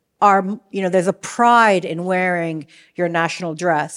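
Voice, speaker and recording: A woman's medium-pitched voice, a plain, everyday voice, with fairly even intonation at a fairly slow pace. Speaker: podcast host. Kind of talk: interview with scripted intro. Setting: stage with live audience.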